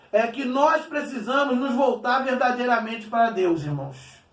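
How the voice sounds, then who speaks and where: In a room with audible echo, a man speaks at an extremely high pitch and a fairly slow pace, with ordinary pitch variation. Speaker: pastor. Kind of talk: sermon.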